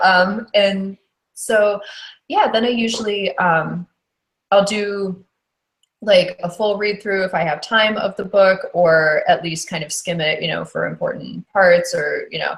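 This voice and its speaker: A woman's somewhat breathy voice at a medium pitch. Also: ordinary pitch variation, fairly slow pace. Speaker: audiobook narrator. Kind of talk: podcast interview answer.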